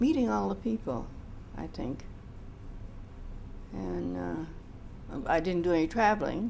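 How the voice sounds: This woman's voice sits fairly low and carries vocal fry. She talks slowly, with lively intonation.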